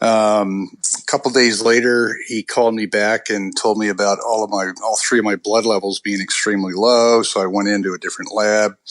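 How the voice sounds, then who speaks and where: A man with a fairly low pitch talks at a fairly quick pace, with hardly any pauses and a monotone, flat intonation. Noticeable background noise runs underneath. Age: 60s. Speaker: patient sharing illness story. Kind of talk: interview.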